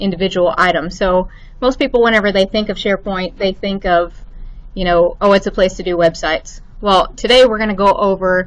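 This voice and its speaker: The speaker has a slight Arkansas accent and ordinary pitch variation. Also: woman. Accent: slight Arkansas lilt. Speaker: IT administrator. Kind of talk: lecture. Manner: halting, many fillers.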